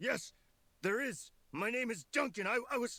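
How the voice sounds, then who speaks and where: The put-on character voice is raspy and fairly high in pitch. It moves at a moderate pace. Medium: video game. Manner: stammering, timid.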